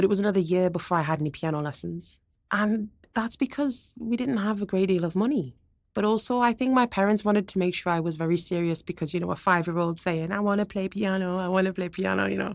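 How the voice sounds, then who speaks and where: Speaking very fast with a Geordie accent, a woman keeps to a medium pitch with ordinary pitch variation. The recording is very clean, with a silent background. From northern England, Gateshead (Tyneside). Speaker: experimental musician and turntablist. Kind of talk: interview conversation. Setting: university campus.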